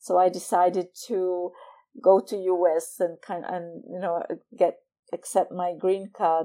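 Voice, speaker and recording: In a Czech accent, a woman talks at a very slow pace with a medium pitch and a dark, mellow tone. Her intonation is monotone and flat, while her loudness swings widely. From Czech Republic, Prague. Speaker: professor. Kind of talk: interview.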